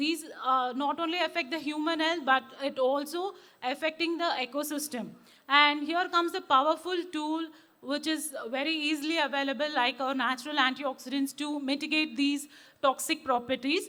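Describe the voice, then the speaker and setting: A woman projects a raised voice with a bright, sharp tone, high in pitch, at a moderate pace and with fairly even intonation. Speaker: cytogeneticist, conference speaker. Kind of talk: conference talk. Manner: hesitant, many fillers.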